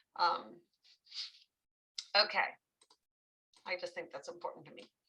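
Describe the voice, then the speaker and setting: A woman with a raised, projected voice. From New England. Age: 50s. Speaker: social work trainer. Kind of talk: lecture. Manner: animated.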